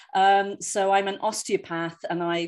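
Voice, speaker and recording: On a very clean recording with a silent background, a woman speaks at a fairly slow pace and medium pitch. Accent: London. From London, England. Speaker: osteopath and former professional singer. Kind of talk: lecture.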